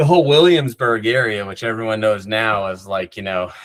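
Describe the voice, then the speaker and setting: A man with an American accent, dry and close with no echo. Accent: faint Long Island accent, mostly escaped. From New York, North Shore of Long Island. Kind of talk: interview. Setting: podcast interview. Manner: many fillers and repeated words; animated.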